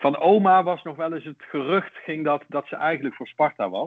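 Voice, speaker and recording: A man speaks with a slight Brabant accent. His pace is moderate. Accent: soft Brabant G, slight. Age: 50s. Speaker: Feyenoord fan, podcast guest. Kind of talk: casual interview, reading aloud from a book.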